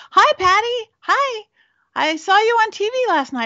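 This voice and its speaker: In a put-on character voice, a woman squeaks at an extremely high pitch. Her tone is enthusiastic. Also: moderate pace. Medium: solo performance. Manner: friendly, enthusiastic.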